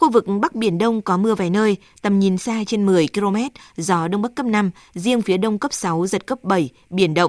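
A woman at a medium pitch and moderate pace, ordinary pitch variation, a plain, everyday voice, dry, close sound with no echo. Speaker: weather forecaster. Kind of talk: news reading.

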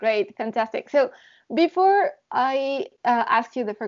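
A woman speaks with a Spanish accent. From Mexico. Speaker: podcast host in classical music industry. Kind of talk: bilingual interview.

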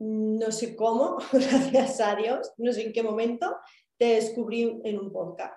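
A woman's fairly high voice shows ordinary pitch variation and unfolds fairly slowly. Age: 30s. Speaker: therapy client sharing her story. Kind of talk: personal testimony in interview.

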